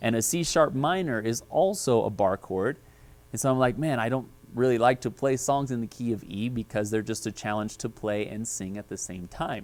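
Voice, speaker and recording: This man's voice sits at a medium pitch with ordinary pitch variation. He speaks at a moderate pace. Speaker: guitar teacher. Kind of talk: tutorial. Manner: halting, many fillers.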